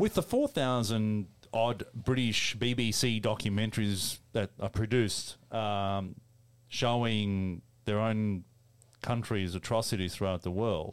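A man with an Australian accent speaks at a fairly slow pace and a fairly low pitch. His loudness stays very even in a very clean recording with a silent background. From Melbourne, Australia. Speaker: podcast host. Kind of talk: casual chat with banter. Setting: studio.

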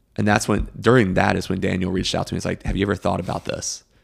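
In an American accent, a man speaks at a very deep, low pitch with vocal fry and ordinary pitch variation. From Greenville, South Carolina. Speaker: coffee shop owner. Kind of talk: casual chat.

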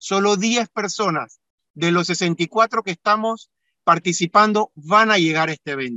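With a high pitch and ordinary pitch variation, a man talks at a fairly slow pace. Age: 40s. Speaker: engineer and amateur paella cook. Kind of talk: radio interview. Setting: remote connection. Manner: halting, frequent repetitions.

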